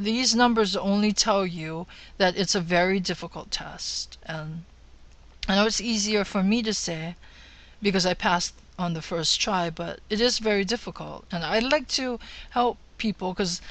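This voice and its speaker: A woman in a Hawaiian accent talks at a moderate pace, her medium pitch showing ordinary variation. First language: Hawaiian mixed with other languages. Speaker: real estate broker. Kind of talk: tutorial.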